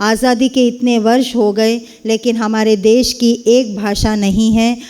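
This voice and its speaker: Here a woman talks with a Kannada accent. Background noise is noticeable. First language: Kannada (speaking Hindi). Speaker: Hindi professor. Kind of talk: speech at a university event.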